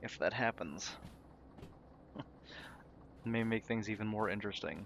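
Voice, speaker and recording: A man with a fairly low pitch talks at a moderate pace in a normal speaking voice, his intonation fairly even. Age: 20s. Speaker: gaming streamer. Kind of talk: gameplay commentary. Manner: casual, chatty.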